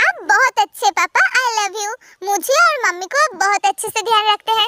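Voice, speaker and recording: A woman puts on a squeaky character voice at an extremely high pitch. She talks at a fairly quick pace with very even loudness. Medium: read story. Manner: emotional.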